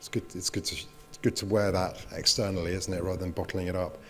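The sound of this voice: The pace is fast, the tone fairly bright, and the pitch moves little. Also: man, low pitch for a man.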